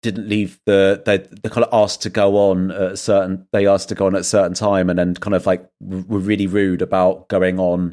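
On a very clean recording with a silent background, a man with a plain, everyday voice speaks at a moderate pace and a fairly low pitch. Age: 40s. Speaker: author and podcast host. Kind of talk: casual chat.

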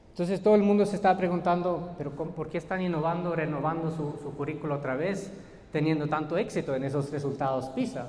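A man with a fairly high pitch speaks at a very fast pace, with noticeable background noise and audible room echo. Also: ordinary pitch variation. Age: 30s. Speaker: educator. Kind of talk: lecture. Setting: stage with audience.

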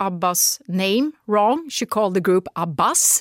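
A woman's voice moves through very wide pitch swings. The sound is dry and close with no echo, on a very clean recording with a silent background. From Sweden. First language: Swedish. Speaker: radio commentator. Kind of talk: interview. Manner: animated; halting.

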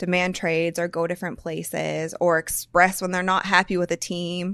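On a very clean recording with a silent background, a woman with an American accent speaks at a moderate pace and medium pitch. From US Midwest. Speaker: sports podcast host. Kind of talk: casual chat.

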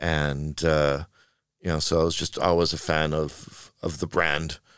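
A man speaks with a Western Canadian accent in a very deep, low pitch and fairly even intonation, on a very clean recording with a silent background. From Canada, Vancouver. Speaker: video game art producer. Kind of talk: interview conversation.

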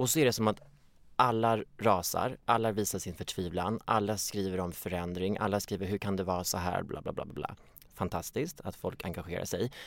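The pace is moderate. Pitch variation is ordinary. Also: man, fairly low pitch for a man. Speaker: stand-in podcast co-host. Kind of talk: casual chat.

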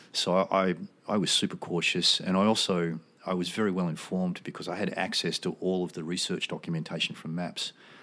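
Speaking fairly quickly in an Australian accent, a man with a very deep, low pitch and a bright, sharp tone stays flat and monotone. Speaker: military veteran and psychedelic research advocate. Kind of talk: casual interview conversation.

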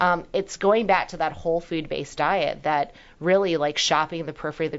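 A woman with a plain, everyday voice, fairly low in pitch, with fairly even intonation and a fairly quick pace. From Hong Kong-born, raised in New York. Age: 40s. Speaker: doctor. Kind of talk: interview chat.

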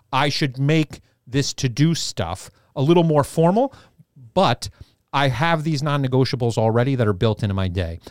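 A man with a New York accent speaks at a medium pitch and a moderate pace in an animated tone, the sound dry and close with no echo on a very clean recording with a silent background. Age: 40s. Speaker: co-host, fitness business founder. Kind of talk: casual chat.

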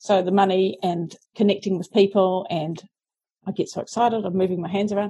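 Fairly quick speech with a New Zealand accent has a dark, mellow tone. The intonation is fairly even and the voice somewhat breathy. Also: woman. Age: 40s. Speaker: self-help author. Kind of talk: interview.

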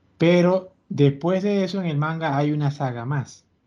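Ordinary shifts in pitch run through the dark, mellow tone of this male voice. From Venezuela. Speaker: podcast host. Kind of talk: casual chat.

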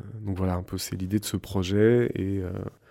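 Very clean recording, silent background, and a man's fairly low, dark, mellow voice with monotone, flat intonation at a fairly slow pace. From France, Creuse (rural). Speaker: architect. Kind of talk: interview. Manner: halting, many fillers.

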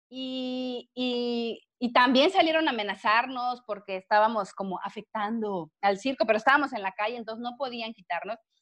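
At a moderate pace, a woman uses an ordinary speaking voice, fairly high in pitch with ordinary pitch variation. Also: hardly any pauses. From Mexico, Villahermosa, Tabasco. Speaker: biologist and animal rights activist. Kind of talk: casual interview chat.

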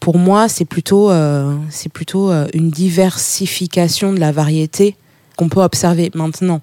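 A woman at a fairly slow pace, fairly low pitch and fairly even intonation, with a dark, mellow tone and a dry, close sound with no echo. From Burkina Faso. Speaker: music booker and publisher. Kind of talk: interview. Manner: hesitant, many fillers.

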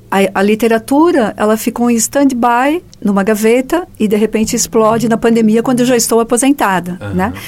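Using a plain, everyday voice, a woman talks fairly quickly at a fairly high pitch, with ordinary pitch variation and hardly any pauses. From Joinville, southern Brazil. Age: 50s. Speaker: writer. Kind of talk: radio interview.

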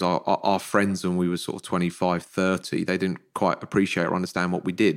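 Someone with an English accent speaks fairly quickly in a flat monotone. The recording is very clean with a silent background. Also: man. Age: 40s. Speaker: financial planner and podcaster. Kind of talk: podcast interview.

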